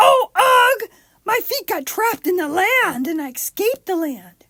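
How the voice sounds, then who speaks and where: In a put-on character voice of extremely high pitch, the speaker goes at a moderate pace. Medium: read story. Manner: affected, sing-song beautiful voice.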